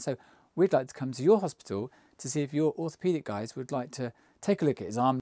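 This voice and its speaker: In an English accent, a man speaks at a fairly quick pace with a fairly high pitch. His tone is dark and mellow, and the recording is very clean with a silent background. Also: dry, close sound with no echo. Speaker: travel vlogger. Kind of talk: casual storytelling to camera. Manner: mumbling; halting. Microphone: new microphone.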